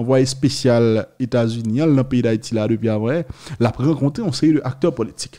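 A dark, mellow male voice in a Haitian accent, at a moderate pace with ordinary pitch variation and a quiet background. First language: Haitian Creole (speaking French). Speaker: news video host. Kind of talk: news commentary. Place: studio. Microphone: studio mic.

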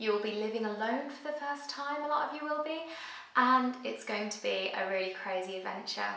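A woman speaks with ordinary pitch variation. Room echo is audible. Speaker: YouTuber giving student advice. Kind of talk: casual vlog chat. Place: kitchen.

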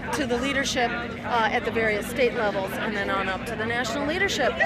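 With crowd noise in the background and a dry sound with no echo, a woman talks at a very fast pace and with ordinary pitch variation. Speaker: activist giving press interview. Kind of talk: interview answer. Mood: earnest, persuasive. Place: street. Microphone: handheld.

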